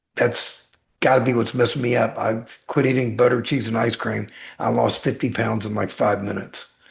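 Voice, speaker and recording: At a medium pitch and moderate pace, a man talks with vocal fry and monotone, flat intonation. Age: 60s. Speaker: weight-loss guest sharing personal transformation. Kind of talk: podcast interview.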